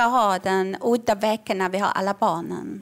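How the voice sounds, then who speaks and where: Pitched in the middle range, a woman with an unremarkable speaking voice keeps her intonation fairly even. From Iran. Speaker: comedian and author. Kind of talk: live comedy podcast chat. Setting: stage with audience.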